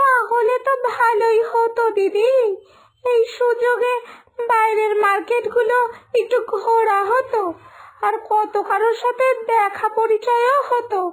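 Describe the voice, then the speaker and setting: A woman's cartoonish character voice, extremely high and monotone, very slow in pace and very even in loudness. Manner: complaining, wistful.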